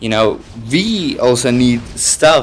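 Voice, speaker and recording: Speaking very slowly, a man with a non-native accent uses a medium pitch. His pitch varies in an ordinary way. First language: not English. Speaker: gaming YouTuber. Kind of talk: gameplay commentary. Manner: halting, searching for words; unscripted, many fillers.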